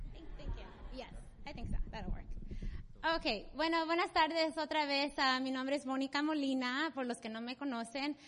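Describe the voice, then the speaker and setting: Her pitch is high, with ordinary variation. The woman keeps a fairly slow pace. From US, Salvadoran mother. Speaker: church member, volunteer. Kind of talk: testimony. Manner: halting, many fillers.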